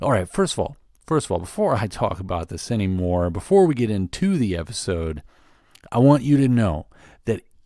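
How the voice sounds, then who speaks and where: A man speaks at a medium pitch with a dark, mellow tone. The recording is very clean, with a silent background. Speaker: podcast host. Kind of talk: podcast intro and conversation.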